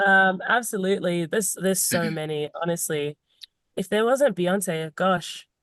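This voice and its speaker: A woman speaks with a British accent at medium pitch and a moderate pace. Her pitch varies in an ordinary way, and the sound is dry and close with no echo. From Zimbabwe. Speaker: singer-songwriter. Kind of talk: podcast interview answer.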